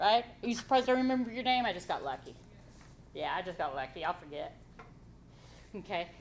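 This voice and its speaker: A loud woman with vocal fry speaks at a very fast pace in a medium pitch, making very wide pitch swings and taking long, frequent pauses. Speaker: college writing instructor. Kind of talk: classroom lecture. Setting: classroom with students. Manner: animated.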